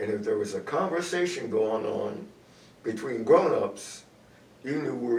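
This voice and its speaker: A man talks at a moderate pace. Noticeable background noise and audible room echo surround him. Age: 80s+. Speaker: community elder on a church talk show. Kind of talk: casual talk show interview. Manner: halting.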